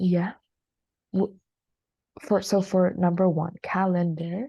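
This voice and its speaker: A woman with an American accent speaks in a somewhat breathy, dark, mellow tone at a fairly low pitch, against a quiet background. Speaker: English teacher. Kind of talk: online class. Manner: hesitant, many fillers.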